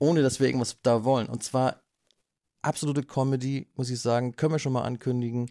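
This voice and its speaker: Dry and close with no echo, this recording has a man talking at a very fast pace. His voice sits at a medium pitch with a dark, mellow tone. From northern Germany, Flensburg. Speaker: podcast host. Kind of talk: casual chat. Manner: animated.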